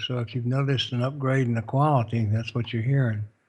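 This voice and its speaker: Somewhat breathy, a man with a Southern US accent speaks at a fairly quick pace and medium pitch. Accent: generic southern US accent, sounds Texan. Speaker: radio show co-host. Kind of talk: fundraising appeal on live internet radio.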